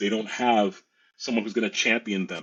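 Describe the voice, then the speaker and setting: Here a man speaks at a medium pitch. He talks with a New York accent. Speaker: teacher and education advocate. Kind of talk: podcast interview.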